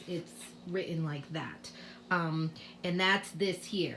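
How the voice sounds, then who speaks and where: With audible room echo around her, a woman speaks in an American accent at a fairly low pitch. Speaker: kindergarten teacher. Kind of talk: tutorial. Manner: casual, with many fillers.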